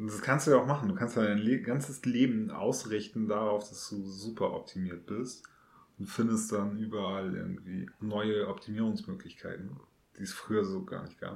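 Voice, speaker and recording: With audible room echo, a man talks at a moderate pace in a fairly low pitch, his pitch varying in an ordinary way and his loudness swinging widely. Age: 30s. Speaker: podcast host. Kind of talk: casual chat.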